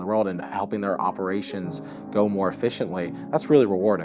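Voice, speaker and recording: Music plays in the background as a man talks. His pitch is fairly low and his pace very fast. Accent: American. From New Jersey, United States. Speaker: assistant marketing manager. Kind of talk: corporate interview answer.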